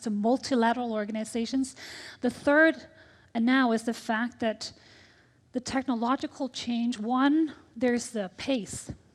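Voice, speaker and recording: On a very clean recording with a silent background, a woman speaks with an American accent and a high pitch. Her intonation is fairly even and her pace moderate. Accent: American-sounding English. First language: Danish. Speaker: tech ambassador, diplomat. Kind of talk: panel discussion.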